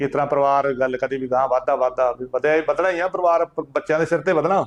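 A man's fairly high-pitched voice with fairly even intonation. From Punjab, India (Kapurthala district). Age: 60s. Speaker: village elder. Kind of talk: oral history interview. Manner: halting.

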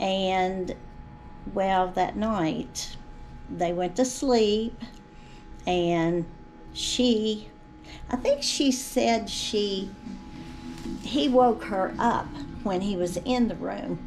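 A woman speaks at a very slow pace, with long, frequent pauses, ordinary pitch variation and light background noise. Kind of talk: interview answer, storytelling. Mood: animated, amazed storytelling. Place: hall.

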